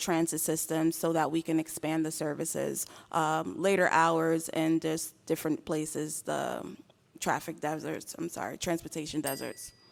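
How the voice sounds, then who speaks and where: A woman speaks at a fairly slow pace with a fairly low pitch and an unremarkable speaking voice. The recording is very clean with a silent background. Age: 30s. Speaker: mayoral candidate. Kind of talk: debate.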